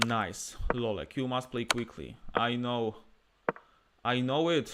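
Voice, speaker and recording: A man of medium pitch speaks at a very slow pace. His pitch varies in an ordinary way. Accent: Polish. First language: Polish. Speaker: chess streamer and player. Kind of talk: live chess commentary. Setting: live stream with chat. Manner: animated.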